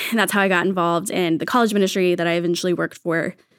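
A woman with an American accent at medium pitch, an ordinary speaking voice with fairly even intonation, in a very clean recording with a silent background. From Texas. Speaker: children's ministry coordinator. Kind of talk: casual chat.

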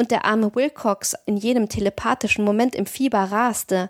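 In a dry, close sound with no echo, a woman uses an ordinary speaking voice at fairly high pitch and a moderate pace. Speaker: podcast host and audiobook narrator. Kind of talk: horror audiobook narration, reading aloud a Lovecraft story.

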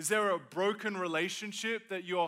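A man with an Australian accent speaks in a raised, projected voice at a high pitch. His tone is animated, bright and sharp. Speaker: pastor. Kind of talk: sermon. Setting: stage with audience.

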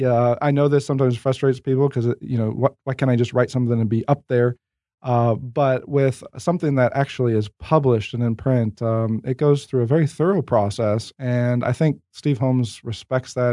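Recorded dry and close with no echo over a quiet background, a man speaks fairly quickly at a medium pitch, his tone dark and mellow, with ordinary pitch variation. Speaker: theologian author. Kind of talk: theological discussion interview.

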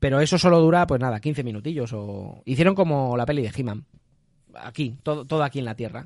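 A man's medium-pitched, animated voice at a fairly quick pace. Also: ordinary pitch variation. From Spain, Valencia region (Gandia). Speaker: podcast host. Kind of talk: casual chat.

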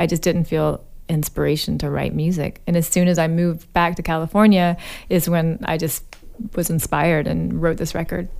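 A woman's ordinary speaking voice, fairly low in pitch, with an American accent, fairly even intonation and a moderate pace, on a very clean recording with a silent background. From US South, Alabama. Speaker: singer-songwriter. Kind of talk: interview. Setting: studio.

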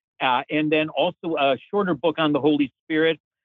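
Speaking at a moderate pace, a man with a plain, everyday voice sits at a fairly high pitch. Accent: American. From US Midwest, Chicago. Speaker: theology professor, author. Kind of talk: interview.

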